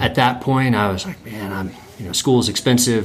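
A man speaks at a moderate pace with an American accent. His intonation stays fairly even over noticeable background noise. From North Carolina. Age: 30s. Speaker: land trust executive director. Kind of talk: casual interview.

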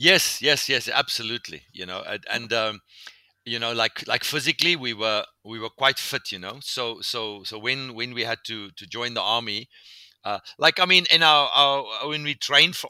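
A man's bright, sharp voice at a moderate pace with ordinary pitch variation, in a very clean, dry, close recording with a silent background and no echo. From South Africa. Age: 50s. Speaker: pastor. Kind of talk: interview.

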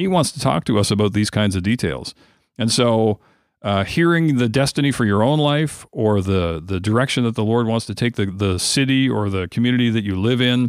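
In a normal speaking voice, a man talks at a fairly quick pace and medium pitch, with lively intonation. The recording is very clean, with a silent background. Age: 50s. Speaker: prayer ministry director. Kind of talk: interview.

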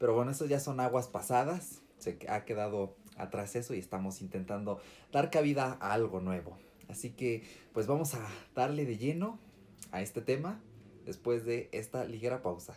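A man with a plain, everyday voice speaks at a medium pitch and a moderate pace, his intonation lively. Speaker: podcast co-host. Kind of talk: casual chat. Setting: in the same room, not on Skype.

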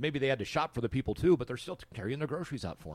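A man's lively intonation with vocal fry, on a very clean recording with a silent background. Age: 50s. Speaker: podcast host. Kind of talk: interview.

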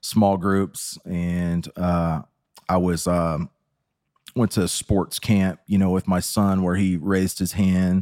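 A man with an American accent speaks very slowly in a very deep, low voice, his intonation monotone and flat, on a very clean recording with a silent background. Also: very even loudness. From Texas. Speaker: recovering addict sharing his story. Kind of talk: testimony.

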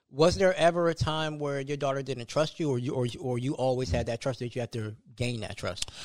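With a normal speaking voice at medium pitch, a man talks at a fairly quick pace with hardly any pauses on a very clean recording with a silent background. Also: ordinary pitch variation. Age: 30s. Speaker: podcast host. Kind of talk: casual chat.

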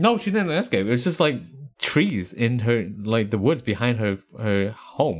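A man with an American accent and an ordinary speaking voice at a medium pitch, lively intonation and a fairly slow pace. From US East Coast, Appalachia. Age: 30s. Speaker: podcast co-host. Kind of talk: casual chat.

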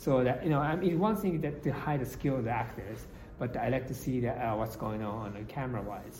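With a Japanese accent, a man talks at a fairly quick pace and medium pitch, amid noticeable background noise and audible room echo. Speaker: film director. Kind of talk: interview. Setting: convention. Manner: halting.

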